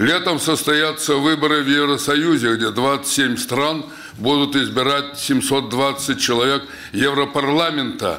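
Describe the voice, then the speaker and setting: A man speaks at a very slow pace, his intonation fairly even and his loudness very even throughout. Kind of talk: press conference statement. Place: hall. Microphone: podium.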